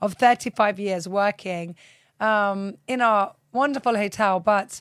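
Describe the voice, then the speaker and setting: An unremarkable speaking voice at a moderate pace, ordinary pitch variation, very clean recording with a silent background. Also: woman. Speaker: podcast host. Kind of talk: interview host, casual talk.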